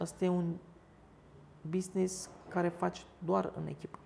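Noticeable background noise accompanies a woman speaking at a fairly slow pace in a Turkish accent. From Istanbul, Turkey; in Romania from age 11. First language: Turkish (speaking Romanian). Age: 40s. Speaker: restaurant owner. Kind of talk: interview.

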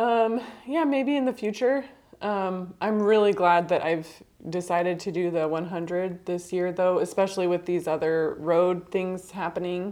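A woman talks at a moderate pace with an unremarkable speaking voice. Her pitch is medium, with ordinary variation. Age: 30s. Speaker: amateur bike racer. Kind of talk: interview.

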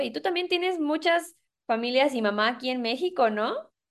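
A woman speaks with a Mexican accent at a moderate pace. Her intonation is lively, and the background is quiet. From Mexico. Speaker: podcast host. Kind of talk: casual chat.

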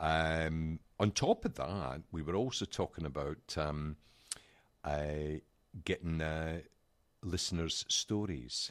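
A man with a Scottish accent speaks very slowly at a very deep, low pitch with ordinary pitch variation and long, frequent pauses, in a dry, close sound with no echo. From Scotland. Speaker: podcast co-host. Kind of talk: casual chat.

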